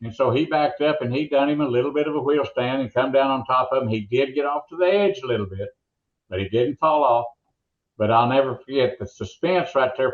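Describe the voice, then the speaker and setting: A man's medium-pitched voice with an Oklahoma accent. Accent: Oklahoma drawl. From rural Oklahoma. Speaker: motorsports announcer. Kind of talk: interview storytelling.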